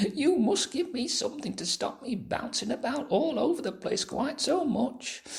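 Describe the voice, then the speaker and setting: Using a squeaky, put-on character voice, a man talks at a moderate pace with hardly any pauses. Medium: read story. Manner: fretful.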